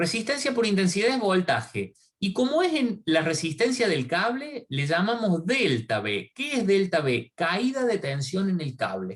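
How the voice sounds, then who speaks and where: Fairly slow speech from a man, his voice high and his pitch swinging very widely. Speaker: university lecturer. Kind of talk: online lecture. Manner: halting.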